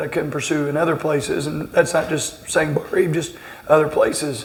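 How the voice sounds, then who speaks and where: A man with an American accent talks at a moderate pace and a fairly high pitch. Noticeable background noise and audible room echo are present. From southern Indiana, Greene County. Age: 40s. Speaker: basketball coach. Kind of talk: interview. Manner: halting, many repeated words.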